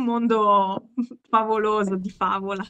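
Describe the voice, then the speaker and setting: A woman, fairly high-pitched, over a quiet background. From Milan, northern Italy. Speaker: author; interviewee. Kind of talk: casual interview; interview answer. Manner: halting, with many fillers. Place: home room. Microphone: video call.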